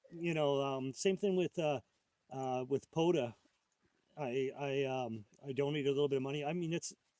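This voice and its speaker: A man's fairly high voice at a moderate pace, with long, frequent pauses, fairly even intonation and a dry, close sound free of echo. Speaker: ham radio operator and live streamer. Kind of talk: casual live stream chat. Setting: outdoors at a park, live stream. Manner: halting; loud.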